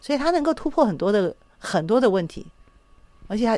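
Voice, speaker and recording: This woman's intonation is lively. She moves at a fairly quick pace. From Taiwan. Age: 60s. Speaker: psychological counselor. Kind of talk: radio interview.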